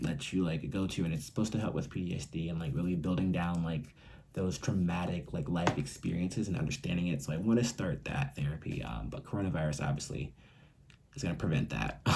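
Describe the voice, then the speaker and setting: Over noticeable background noise, a soft-spoken man with a very deep, low pitch talks very fast with lively intonation. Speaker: YouTuber talking about mental health. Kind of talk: casual vlog monologue. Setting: at home, roommate nearby. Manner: quiet, talking softly.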